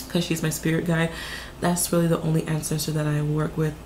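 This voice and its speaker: Noticeable background noise and audible room echo accompany a woman speaking at a fairly low pitch. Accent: American. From US South, Martinsville, Virginia. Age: 20s. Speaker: psychic reader, video creator. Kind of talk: casual Q&A monologue. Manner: casual, filler-heavy.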